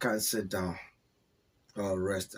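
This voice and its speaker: A man speaks with monotone, flat intonation. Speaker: football commentator. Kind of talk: casual monologue. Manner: hesitant.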